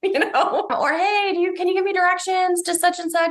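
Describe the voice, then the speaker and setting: A woman talks with an American accent. Noticeable background noise can be heard. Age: 40s. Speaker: nonprofit co-founder, anti-harassment activist. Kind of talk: interview.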